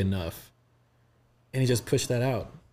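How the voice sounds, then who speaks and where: An American-accented man speaks at a fairly quick pace. His tone is dark and mellow. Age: 30s. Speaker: communications director and creative. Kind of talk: casual chat.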